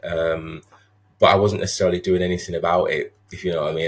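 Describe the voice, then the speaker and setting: A man with a Sheffield accent at a fairly quick pace. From northern England, Sheffield. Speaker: social worker. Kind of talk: podcast interview. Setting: video call.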